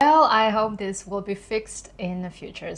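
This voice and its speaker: A woman with a Kazakh accent speaks at a moderate pace. Her pitch is medium, with ordinary variation. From Kazakhstan. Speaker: YouTuber, former corporate employee. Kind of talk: vlog monologue.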